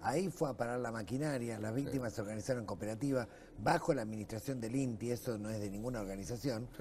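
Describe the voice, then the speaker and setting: A man speaks in a dark, mellow tone over light background noise. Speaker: guest. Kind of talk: interview answer. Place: studio.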